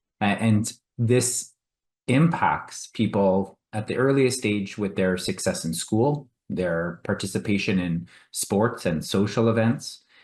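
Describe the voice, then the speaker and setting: A man with a Canadian accent speaks at a fairly slow pace and a fairly low pitch. His pitch varies in an ordinary way, and the background is quiet. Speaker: physician, endometriosis specialist. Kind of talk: panel discussion. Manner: hesitant, many fillers.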